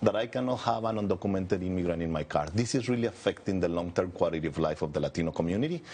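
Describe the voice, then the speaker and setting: A man's fairly low voice at a very fast pace, with lively intonation. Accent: Spanish. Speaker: advocacy group director. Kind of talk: TV news interview. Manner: earnest, with frequent hesitations.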